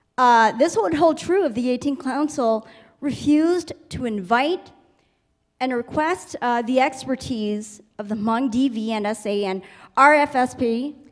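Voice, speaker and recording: A loud, high-pitched woman's voice with lively intonation. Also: moderate pace. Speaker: community member in audience. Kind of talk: heated public forum statement. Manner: loud, boisterous.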